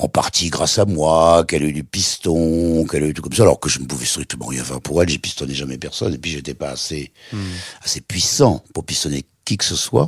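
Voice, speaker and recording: A man's very deep, low voice with vocal fry, fairly quick pace and ordinary pitch variation, in a dry, close sound with no echo. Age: 80s+. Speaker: TV presenter. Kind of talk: interview answer.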